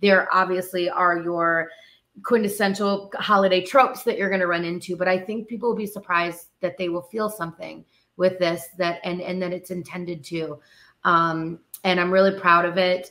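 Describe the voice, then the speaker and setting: Her tone is bright and sharp as this woman speaks at a fairly low pitch with fairly even intonation. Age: 30s. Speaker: actor and musician; actor. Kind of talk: interview conversation. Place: home room.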